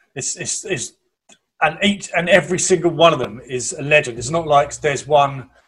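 A man with an English accent, somewhat breathy, at a moderate pace with ordinary pitch variation. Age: 30s. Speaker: podcast co-host. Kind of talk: casual chat.

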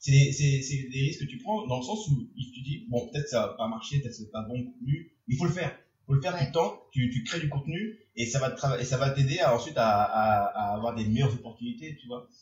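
A somewhat breathy man speaks at medium pitch with lively intonation. His pace is fairly quick, with hardly any pauses. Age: 20s. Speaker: podcast host. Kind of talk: casual chat. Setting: bar-themed studio. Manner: animated.

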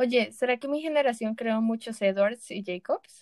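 This is a plain, everyday voice at a fairly slow pace, with ordinary pitch variation and a dry, close sound with no echo. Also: woman. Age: 20s. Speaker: podcast co-host. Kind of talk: casual chat.

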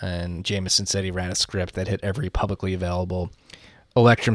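A man with an American accent talks at a very fast pace in a very deep, low pitch. His intonation is monotone and flat, on a very clean recording with a silent background. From Philadelphia. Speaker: podcast host. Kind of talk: casual chat.

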